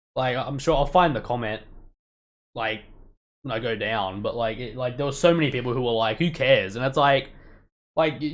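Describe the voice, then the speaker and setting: At a fairly quick pace, a man with an Australian accent speaks in a medium pitch with ordinary pitch variation. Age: 30s. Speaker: youtuber. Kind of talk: casual live stream commentary. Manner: fast, stumbling.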